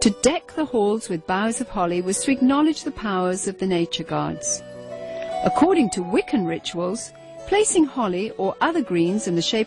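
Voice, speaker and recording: Music can be heard behind the voice. The delivery is neither fast nor slow. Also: woman. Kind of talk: documentary narration.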